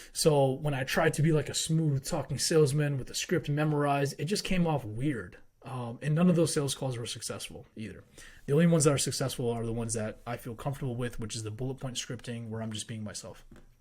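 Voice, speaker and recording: A man's somewhat breathy, medium-pitched voice at a very fast pace, with ordinary pitch variation and big swings in loudness, on a very clean recording with a silent background. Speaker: online business coach. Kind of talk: tutorial.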